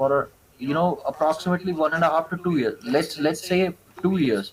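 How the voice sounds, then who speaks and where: A man speaks at a high pitch and a moderate pace. His loudness stays very even, with ordinary pitch variation. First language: not English. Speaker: ex-tech support scammer. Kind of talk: interview. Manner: halting, many fillers.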